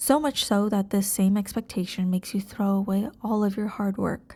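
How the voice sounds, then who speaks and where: A woman speaks in a gentle, somewhat breathy tone with fairly even intonation. The recording is very clean, with a silent background. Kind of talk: ASMR girlfriend roleplay. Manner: gentle, reassuring.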